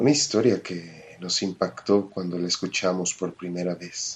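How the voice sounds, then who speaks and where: A man with a very deep, low pitch talks at a very slow pace. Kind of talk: horror story narration.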